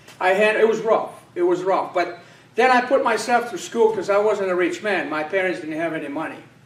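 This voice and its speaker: At a fairly quick pace, a man speaks with a high pitch. Noticeable background noise and audible room echo are present. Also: ordinary pitch variation. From Poland. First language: Polish. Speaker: political candidate. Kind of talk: campaign speech. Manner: halting, many fillers.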